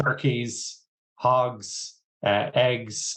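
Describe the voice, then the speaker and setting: This man has an Irish accent. His pitch sits in the medium range. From Ireland. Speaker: agtech executive. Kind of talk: interview.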